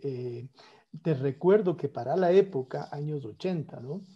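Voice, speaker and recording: An ordinary speaking voice with ordinary pitch variation comes through against a quiet background. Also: man. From Ecuador, Quito; Ecuador. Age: 50s. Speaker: economist and former economy minister; former economy minister. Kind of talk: political interview conversation. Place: home room. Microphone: earbuds.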